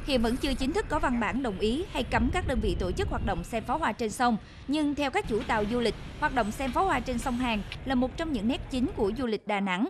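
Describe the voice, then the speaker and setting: A woman with a high-pitched voice talks very fast, with lively intonation and very even loudness, over noticeable background noise. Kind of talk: news reading. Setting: studio. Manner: formal.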